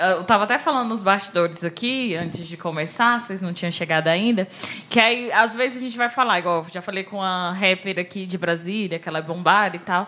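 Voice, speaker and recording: A woman speaks at a fairly quick pace with hardly any pauses and big swings in loudness. Noticeable background noise sits behind her. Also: medium pitch for a woman, ordinary pitch variation. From Brazil, Ceilândia (Federal District). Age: 20s. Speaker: podcast co-host. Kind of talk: casual chat.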